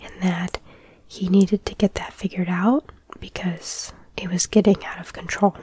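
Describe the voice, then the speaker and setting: Soft-spoken and at medium pitch, a woman talks at a moderate pace with fairly even intonation and big swings in loudness. The sound is dry and close with no echo, though noticeable background noise is present. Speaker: ASMR true crime storyteller. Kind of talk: casual true crime storytelling.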